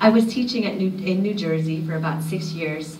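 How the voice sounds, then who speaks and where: A woman speaks at a moderate pace with an American accent and ordinary pitch variation. There's noticeable background noise and audible room echo. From Union City, California. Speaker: sociology professor. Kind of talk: conference talk. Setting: stage with audience. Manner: animated.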